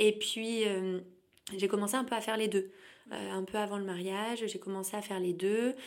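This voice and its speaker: Moderate pace from a woman with a medium-pitched voice. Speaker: sophrologist. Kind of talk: interview. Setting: in-person recording. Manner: energetic.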